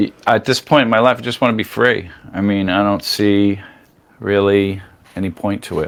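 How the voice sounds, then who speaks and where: With an American accent, a man speaks in a plain, everyday voice at a fairly low pitch, keeping a fairly even intonation and a moderate pace. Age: 60s. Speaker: podcast guest. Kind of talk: casual chat.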